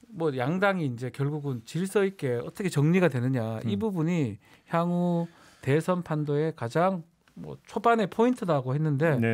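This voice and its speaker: The man's intonation is lively, and his pitch is fairly high. He keeps to a moderate speed. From Chungcheong region of Korea. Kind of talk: casual conversational.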